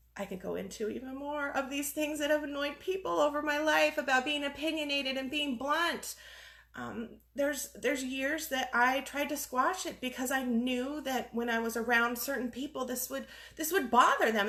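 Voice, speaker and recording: A woman speaks at a moderate pace in a high pitch with ordinary pitch variation. Her voice is raised and projected, with a bright, sharp tone. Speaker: life coach. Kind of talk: facebook live monologue. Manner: loud; halting.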